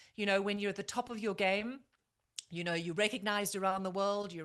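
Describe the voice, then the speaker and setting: A woman speaks with a medium pitch and fairly even intonation. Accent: South African. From South Africa. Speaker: former TV news correspondent and anchor. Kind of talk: podcast interview.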